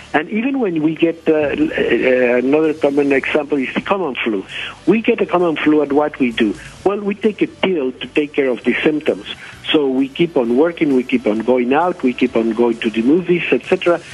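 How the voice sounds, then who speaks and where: Over noticeable background noise, a man talks at a fairly quick pace, his fairly high pitch carried by lively intonation. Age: 70s. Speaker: doctor. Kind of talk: radio interview. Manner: halting, many fillers.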